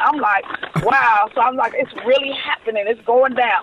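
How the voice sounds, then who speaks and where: A woman with an American accent speaks at a fairly quick pace and a high pitch. Noticeable background noise is present. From Los Angeles, California. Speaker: celebrity hairstylist. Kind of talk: interview. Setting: remote call.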